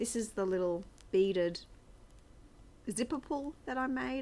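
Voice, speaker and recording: A woman in an Australian accent talks at a moderate pace with lively intonation. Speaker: craft vlogger. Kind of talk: casual chat. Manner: chatty, rambling with fillers. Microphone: new external mic on iPad.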